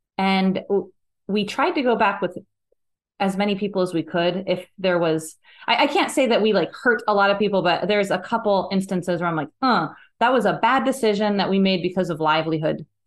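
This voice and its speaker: A woman with an American accent talks at a fairly quick pace and medium pitch, with ordinary pitch variation, very even loudness, and a quiet background. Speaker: singer. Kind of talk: casual chat.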